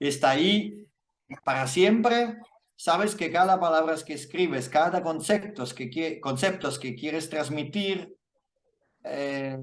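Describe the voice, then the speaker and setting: At a very slow pace, a man with a fairly high pitch speaks amid audible room echo. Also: lively intonation. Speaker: lighting visualization instructor and author. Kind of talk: Q&A after lecture. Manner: halting, with fillers and self-corrections.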